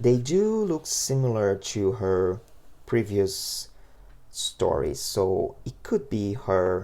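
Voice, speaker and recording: Here a man is heard. His delivery moves at a very slow pace. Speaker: manga book reviewer. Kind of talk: video review, casual commentary. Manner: halting, many fillers and restarts.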